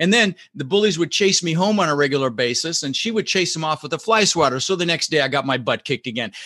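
In a General American accent, a very fast, animated speaker with lively intonation and a bright, sharp tone barely pauses, the sound dry and close with no echo. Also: man, fairly high pitch for a man. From Netherlands, raised in Denver, Colorado from age six. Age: 60s. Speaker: real estate investor and entrepreneur. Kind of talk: casual interview. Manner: animated, repeats words often.

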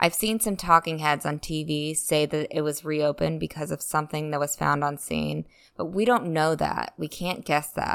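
A woman with a low pitch and vocal fry speaks at a moderate pace, her intonation fairly even.

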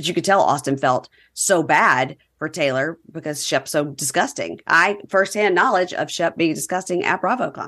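In a Southern US accent, the speaker uses a bright, sharp tone with ordinary pitch variation over a quiet background. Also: woman, fairly low pitch for a woman, moderate pace. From Mississippi, US South. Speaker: podcast host, reality TV recapper. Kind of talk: casual chat.

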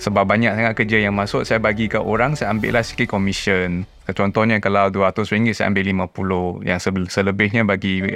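Over noticeable background noise, a man with a fairly low pitch talks at a moderate pace and fairly even intonation. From Penang, Malaysia. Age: 30s. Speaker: young father, private sector professional. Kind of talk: casual chat. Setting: studio.

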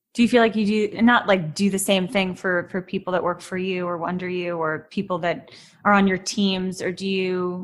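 A woman with an American accent talks at a moderate pace in a normal speaking voice, her pitch medium and her intonation fairly even. The recording is very clean, with a silent background. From New York City. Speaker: podcast host and actress. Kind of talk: interview; scripted narration.

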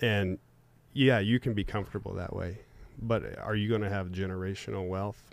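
A man speaks in a plain, everyday voice at a fairly quick pace. His intonation is fairly even. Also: fairly low pitch for a man. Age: 30s. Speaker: real estate investor. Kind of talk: casual chat.

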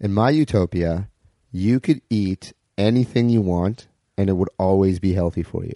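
In a Canadian accent, a man talks at a moderate pace with a fairly low pitch, a dark, mellow tone and ordinary pitch variation, recorded with a dry, close sound and no echo. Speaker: improviser. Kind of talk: casual chat. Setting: on a couch at the host's home.

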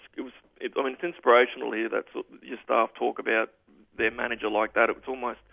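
A man with an Australian accent, talking at a very fast pace. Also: big swings in loudness. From far north Queensland, Australia. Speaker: racing club manager. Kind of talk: radio interview.

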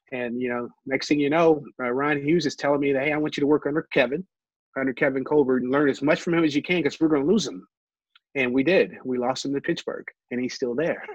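A man with a normal speaking voice, fairly high in pitch, with fairly even intonation. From Ohio. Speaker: former football executive and player. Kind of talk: interview.

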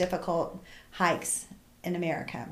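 A woman with a medium pitch speaks, and audible room echo can be heard. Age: 60s. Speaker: hiker and friend of the host. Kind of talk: testimony.

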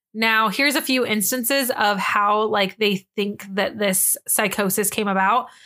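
A woman speaks in a fairly high, bright and sharp voice with ordinary pitch variation, very even loudness and hardly any pauses. The recording is very clean, with a silent background. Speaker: podcast co-host. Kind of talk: casual chat; reading aloud. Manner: fast.

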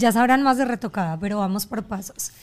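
A woman's plain, everyday voice, fairly high in pitch, with lively intonation at a moderate pace. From Colombia. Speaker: podcast host. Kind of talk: casual chat.

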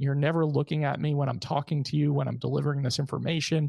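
The voice sounds somewhat breathy, and the sound is dry and close, with no echo. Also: man, quiet background. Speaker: podcast host. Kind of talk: podcast conversation.

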